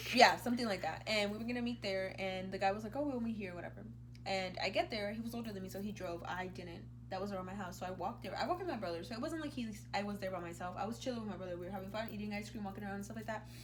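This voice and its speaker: Very fast speech from a woman with a Spanish accent, with noticeable background noise and audible room echo. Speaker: YouTuber. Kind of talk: casual chat. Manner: animated.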